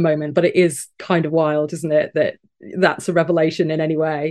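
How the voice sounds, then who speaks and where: A woman speaks fairly quickly with a fairly low pitch. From Wigan, northern England. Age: 40s. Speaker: strategy and creative leader. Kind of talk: casual interview chat.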